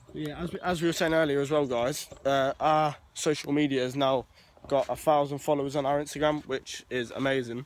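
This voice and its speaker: Recorded dry with no echo, a man speaks at a fairly quick pace with monotone, flat intonation. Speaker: vlogger. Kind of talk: casual vlog chat. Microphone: phone near.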